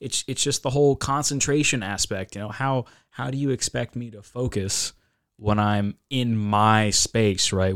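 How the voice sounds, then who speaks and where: A normal speaking voice from a man with an American accent, fairly low in pitch with ordinary pitch variation, big swings in loudness and a moderate pace, on a very clean recording with a silent background. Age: 20s. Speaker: university student. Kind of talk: casual chat.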